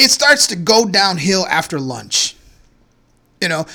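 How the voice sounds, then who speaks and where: A man speaks at a fairly slow pace in a raised, projected voice. His tone is bright and sharp. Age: 40s. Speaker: podcast host. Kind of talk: casual chat. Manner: hesitant, many fillers.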